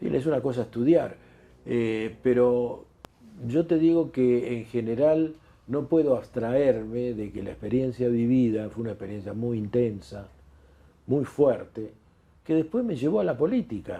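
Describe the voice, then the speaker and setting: A man with a Rioplatense accent at medium pitch, ordinary pitch variation and a fairly slow pace. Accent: Argentine Spanish (rioplatense). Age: 70s. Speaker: retired doctor and former politician. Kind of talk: interview. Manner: halting, frequent repetitions and fillers.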